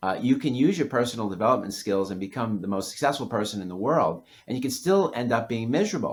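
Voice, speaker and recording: Delivered at a fairly quick pace, this is a plain, everyday voice with an American accent. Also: man. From New York City. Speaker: author. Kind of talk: podcast interview.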